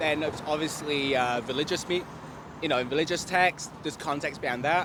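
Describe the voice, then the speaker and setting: Speaking at a fairly quick pace with an English accent, a man uses ordinary pitch variation over noticeable background noise. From England. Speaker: member of the public. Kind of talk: street interview.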